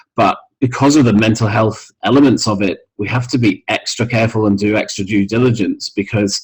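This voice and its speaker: A man's somewhat breathy medium-pitched voice, fairly quick with hardly any pauses and fairly even intonation. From Scotland. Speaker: mental health music organisation founder. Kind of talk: interview. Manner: hesitant with many fillers.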